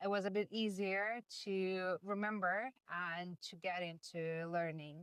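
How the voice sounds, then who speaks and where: Over music in the background, a woman speaks very slowly in a Russian accent with ordinary pitch variation. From Russia, Moscow. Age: 30s. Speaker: language student. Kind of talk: interview. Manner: hesitant, many fillers.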